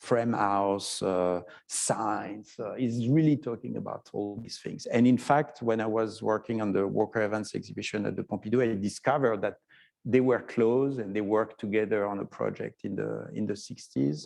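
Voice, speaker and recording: A man with a French accent, at a moderate pace, fairly low in pitch, with ordinary pitch variation. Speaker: photography historian. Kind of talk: interview conversation. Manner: halting, many fillers.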